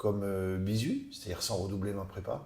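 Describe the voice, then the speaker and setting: Dark and mellow in tone and somewhat breathy, this man's voice keeps a moderate pace. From southern France, Narbonne. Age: 60s. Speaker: businessman and rugby club president. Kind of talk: interview. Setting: office. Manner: hesitant, many fillers.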